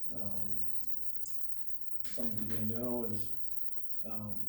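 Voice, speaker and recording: The speech runs at a moderate pace with monotone, flat intonation and a dark, mellow, somewhat breathy tone. Room echo can be heard. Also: man. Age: 60s. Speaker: speaker sharing a mental health story. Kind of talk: testimony.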